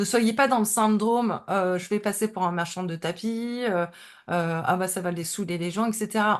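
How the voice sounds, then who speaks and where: A woman's medium-pitched voice with ordinary pitch variation against a quiet background. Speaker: Instagram coach. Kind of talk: webinar presentation. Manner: fast; hesitant, many fillers.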